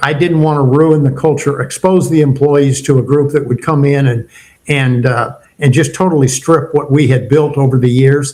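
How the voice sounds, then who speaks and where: Speaking at a moderate pace, this somewhat breathy voice keeps a fairly even intonation. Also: man. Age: 70s. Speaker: retired entrepreneur and leadership mentor. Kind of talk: podcast interview.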